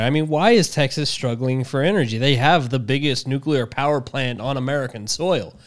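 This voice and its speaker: This man has an unremarkable speaking voice, talking at a fairly quick pace in a medium pitch with ordinary pitch variation. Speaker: podcast host. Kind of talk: casual chat.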